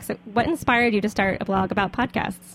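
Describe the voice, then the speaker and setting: Using an unremarkable speaking voice, a woman with an American accent talks at medium pitch with ordinary pitch variation. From US South. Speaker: podcast host. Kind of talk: casual interview. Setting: studio.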